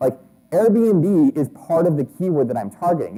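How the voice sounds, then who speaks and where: With a dark, mellow tone, a man speaks at a fairly high pitch and swings it very widely. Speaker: conference speaker on SEO. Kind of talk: conference talk. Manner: fast.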